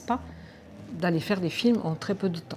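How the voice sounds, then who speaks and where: Ordinary pitch variation and a moderate pace in a woman's fairly low voice. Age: 60s. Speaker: wildlife filmmaker. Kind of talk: interview. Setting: film festival. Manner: hesitant, many filler sounds.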